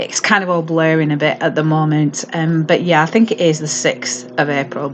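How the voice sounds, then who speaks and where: With a Lancashire accent, the speaker keeps a moderate pace and ordinary pitch variation. Noticeable background noise runs underneath. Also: woman, very deep, low pitch for a woman. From northern England, Lancashire (Accrington, Haslingden). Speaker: mental health trainer. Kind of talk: personal introduction to camera. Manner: hesitant, with frequent fillers.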